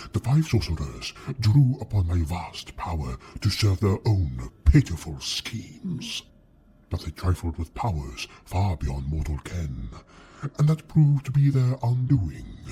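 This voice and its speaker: A man puts on a character voice, very deep and low, with very wide pitch swings at a fairly slow pace. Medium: audio drama. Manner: condescending, mocking, silkily menacing.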